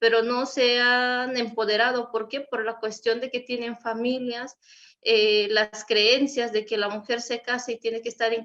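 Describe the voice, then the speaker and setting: A woman with a western Mexican accent speaks at a fairly slow pace in a fairly high pitch. Her tone is bright and sharp, and her intonation is monotone and flat. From Mexico, Wixárika community. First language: Wixárika (speaking Spanish). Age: young. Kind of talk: panel discussion.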